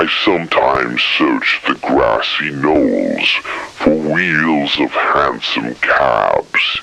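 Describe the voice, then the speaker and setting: A man puts on a growling character voice, mumbling at a very slow pace. Clear background noise can be heard. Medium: read story. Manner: slow, muttering.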